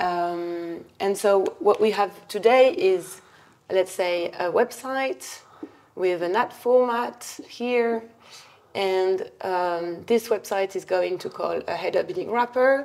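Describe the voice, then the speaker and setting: Speaking at a very slow pace, a woman with a French accent keeps a medium pitch. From France. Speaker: adtech company CEO and co-founder. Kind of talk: interview at whiteboard, explaining. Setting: office. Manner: hesitant, many fillers.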